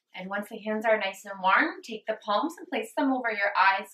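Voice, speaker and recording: There is audible room echo around a woman's voice. She has a bright, sharp tone and ordinary pitch variation. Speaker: yoga instructor. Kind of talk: guided yoga class. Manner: slow, calm. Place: home room. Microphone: camera far.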